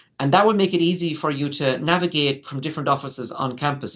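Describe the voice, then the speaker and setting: The man talks at a very fast pace. His pitch sits fairly high. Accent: Irish. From Ireland. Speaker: university international office staff. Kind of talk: informational webinar presentation. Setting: online webinar. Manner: conversational, many fillers.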